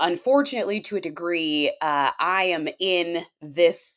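A woman speaks in an American accent. Her pitch variation is ordinary. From Washington State. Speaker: firefighter and wellness coach. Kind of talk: interview.

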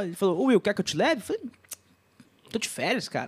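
A man's high-pitched voice with lively intonation. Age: 30s. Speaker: podcast host. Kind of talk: casual chat.

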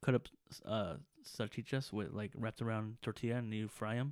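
This man has a normal speaking voice at a medium pitch, with an American accent. He talks at a fairly quick pace with fairly even intonation. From Los Angeles, California (Mexican family). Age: 20s. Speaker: podcast co-host. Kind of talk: casual chat.

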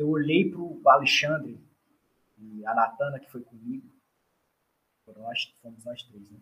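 Lively intonation from a man with a fairly high, bright, sharp voice, big swings in loudness, a fairly slow pace, and long, frequent pauses. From Brazilian Northeast, Ceará (Fortaleza). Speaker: doctoral student in food engineering. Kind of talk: interview, casual chat.

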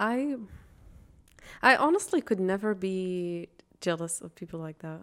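In a very clean recording with a silent background, a woman speaks at a medium pitch and a fairly slow pace, with long, frequent pauses, lively intonation and big swings in loudness. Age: 20s. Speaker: podcast co-host. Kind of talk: casual chat.

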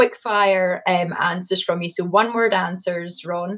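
A woman with a Scottish accent, medium pitch and fairly even intonation. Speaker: communications executive, interviewer. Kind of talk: casual interview.

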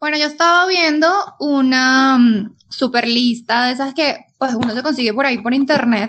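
A woman with a Colombian accent speaks at a moderate pace in a high voice, her pitch varying in an ordinary way. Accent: Colombian-tinged Spanish. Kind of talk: casual chat.

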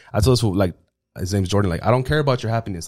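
On a very clean recording with a silent background, a man speaks with a Spanish accent. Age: 30s. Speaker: podcaster. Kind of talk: casual chat.

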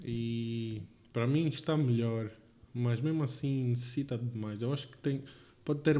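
A dark, mellow tone at a fairly slow pace, with fairly even intonation. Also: man. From Angola, Lubango. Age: 20s. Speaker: podcast co-host, engineering student. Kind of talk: casual chat.

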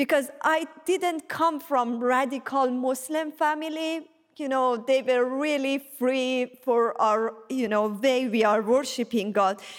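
Speaking very slowly with hardly any pauses, a woman with a Persian accent uses a high pitch and ordinary pitch variation. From Iran. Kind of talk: testimony. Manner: halting.

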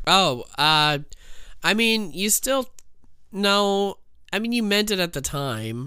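A man with a high pitch speaks in a raised, projected voice with a bright, sharp tone and lively intonation. His pace is very slow with long, frequent pauses, on a very clean recording with a silent background. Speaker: podcast co-host and streamer. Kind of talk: casual banter podcast. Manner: sarcastic, joking.

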